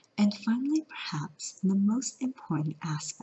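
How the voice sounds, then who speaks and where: Very wide pitch swings run through the somewhat breathy speech of a woman. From California. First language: Mandarin. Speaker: language teacher. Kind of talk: educational talk to camera. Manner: upbeat.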